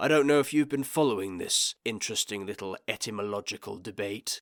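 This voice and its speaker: Using a raspy put-on character voice at a medium pitch, a man talks at a fairly quick pace in a very clean recording with a silent background and a dry, close sound with no echo. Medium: read story. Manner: dry, measured, understated.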